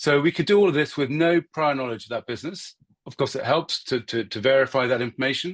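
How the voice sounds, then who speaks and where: A man with a British accent speaks at a fairly high pitch with ordinary pitch variation. The sound is dry and close with no echo, and the background is quiet. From UK. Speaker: marketing consultant giving a guest talk. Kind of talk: lecture. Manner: hesitant, many fillers.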